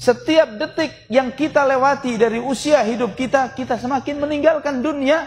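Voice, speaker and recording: Over light background noise, a man speaks at an extremely high pitch with ordinary pitch variation. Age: 40s. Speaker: Islamic preacher. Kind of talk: sermon. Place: hall. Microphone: podium.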